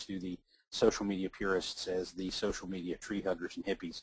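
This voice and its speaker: A man with a fairly low pitch, speaking at a fairly quick pace. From Kentucky, US South. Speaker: author and social media marketing speaker. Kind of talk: webinar presentation. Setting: webinar, online call. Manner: halting, many fillers.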